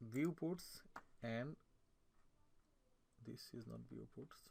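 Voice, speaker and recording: A man speaks at a medium pitch in a non-native accent. His intonation stays fairly even. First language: not English. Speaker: AutoCAD instructor. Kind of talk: tutorial. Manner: halting, many fillers and self-corrections.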